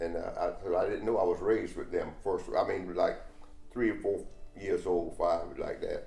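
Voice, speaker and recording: With music in the background and audible room echo, a man speaks in a North Carolina accent at a moderate pace. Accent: Southern US (North Carolina). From US South, Wilmington, North Carolina. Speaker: interviewee sharing life story. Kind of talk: oral history interview. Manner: halting, many fillers.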